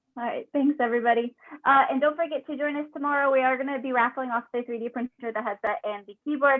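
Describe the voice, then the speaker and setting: A woman talks at a very fast pace in a high voice, with ordinary pitch variation and big swings in loudness. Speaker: engineering student club organizer. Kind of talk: casual online meeting wrap-up.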